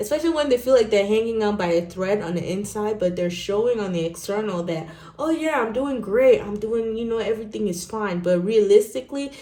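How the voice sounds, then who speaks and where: An animated woman at medium pitch with ordinary pitch variation and noticeable background noise. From Nigeria. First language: not English. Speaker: tarot reader. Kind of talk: tarot reading.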